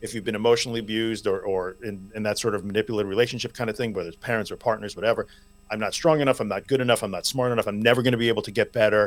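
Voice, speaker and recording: This man has an American accent and a medium pitch. He speaks very fast with fairly even intonation. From Long Island, New York. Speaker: anxiety recovery podcaster and coach. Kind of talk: interview conversation.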